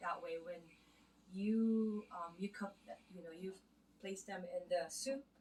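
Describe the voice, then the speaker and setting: At a moderate pace, a woman with a Filipino accent sounds somewhat breathy, her pitch varying in an ordinary way. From Philippines. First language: Filipino (Tagalog). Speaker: home cook vlogger. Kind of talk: casual vlog tutorial. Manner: halting, many fillers.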